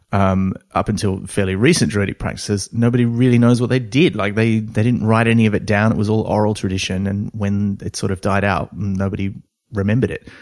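Speaking at a fairly quick pace with an Australian accent, a man uses a fairly low pitch and fairly even intonation in a very clean recording with a silent background. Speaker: comedy writer and voice actor. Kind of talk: casual chat.

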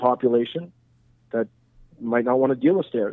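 A man speaks with a Montreal accent. His pitch sits in the medium range. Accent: Montreal anglophone Canadian English. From Montreal, Quebec. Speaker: real estate investor. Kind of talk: interview. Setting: phone call. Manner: halting.

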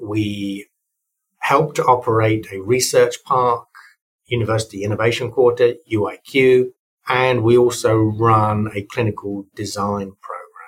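At a fairly slow pace, a man talks in a somewhat breathy voice at medium pitch with monotone, flat intonation. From Europe. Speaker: university tech-transfer executive. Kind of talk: interview.

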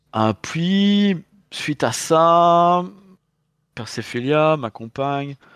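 A man's voice with a dry, close sound and no echo. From Belgium. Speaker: tabletop game designer. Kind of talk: casual interview chat. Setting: video call from London. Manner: hesitant, repeating words.

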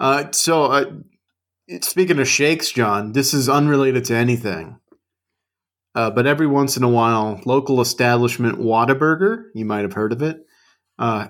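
A plain, everyday voice from a man, at a moderate pace with ordinary pitch variation. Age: 40s. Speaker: podcast co-host. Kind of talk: casual chat.

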